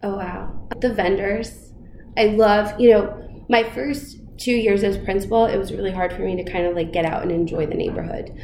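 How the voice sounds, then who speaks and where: With an American accent, a woman at medium pitch talks at a moderate pace with ordinary pitch variation, amid noticeable background noise and audible room echo. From New York, the Bronx and southern Westchester. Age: 30s. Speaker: school principal. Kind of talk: interview. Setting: principal's office.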